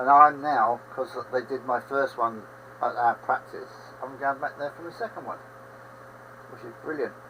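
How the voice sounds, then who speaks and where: This man talks at a moderate pace in a fairly high pitch, keeping his intonation fairly even while noticeable background noise plays. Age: 70s. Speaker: livestream host, railway modeller. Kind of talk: casual chat. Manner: rambling conversational.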